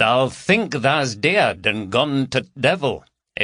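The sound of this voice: Lively intonation from an unforced reading voice, the background quiet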